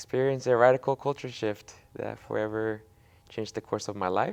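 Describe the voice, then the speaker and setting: At a moderate pace, a man with a Spanish accent speaks in a fairly low voice with fairly even intonation. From Mexico, moved to Oregon at ten. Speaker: immigrant rights activist. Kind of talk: interview testimony. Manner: halting, many fillers.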